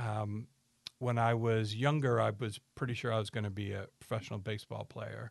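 A man with an American accent and a normal speaking voice talks at a moderate pace with a medium pitch and fairly even intonation, over a quiet background. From upstate New York. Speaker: employment lawyer. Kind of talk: casual interview.

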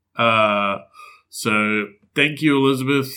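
Recorded very cleanly against a silent background, a man speaks with an Australian accent. His tone is bright and sharp, with medium pitch and fairly even intonation. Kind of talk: casual chat.

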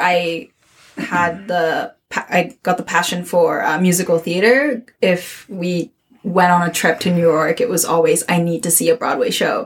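A woman speaks at a fairly slow pace with a Japanese accent. Her pitch is medium, with ordinary variation. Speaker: theatre artist. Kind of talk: casual chat.

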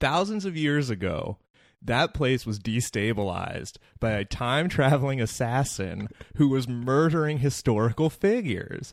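In a very clean recording with a silent background, a man with a plain, everyday voice talks at a moderate pace, his medium pitch carried by lively intonation. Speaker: podcast host. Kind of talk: casual banter.

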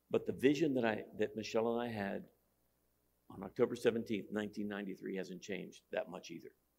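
A man with a normal speaking voice, fairly low pitch and ordinary pitch variation, at a moderate pace with big swings in loudness. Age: 60s. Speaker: pastor. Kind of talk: sermon.

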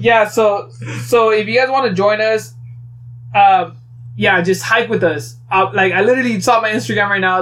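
Noticeable background noise runs under a man talking at a fairly quick pace and a high pitch, his voice making very wide pitch swings. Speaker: podcast host. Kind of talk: casual chat.

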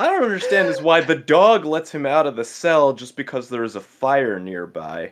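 A man with an American accent, fairly high-pitched, at a moderate pace, with very wide pitch swings. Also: big swings in loudness. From New Jersey. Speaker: podcast guest, streamer. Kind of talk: casual chat.

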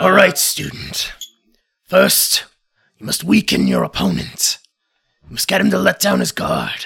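A man puts on a character voice that is gravelly and raspy. He keeps a moderate pace. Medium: actual play. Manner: stern, commanding.

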